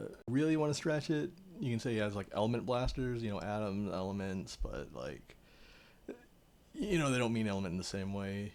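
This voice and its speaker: A man with an unremarkable speaking voice, fairly low in pitch, talks at a fairly quick pace with lively intonation. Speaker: artist and storyteller. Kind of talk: reading aloud; casual chat.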